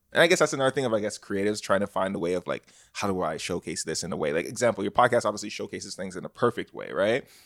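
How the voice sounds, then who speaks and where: A man with a fairly low voice speaks very fast with lively intonation and hardly any pauses. The recording is very clean, dry and close, with a silent background and no echo. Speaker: podcast host. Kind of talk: casual chat.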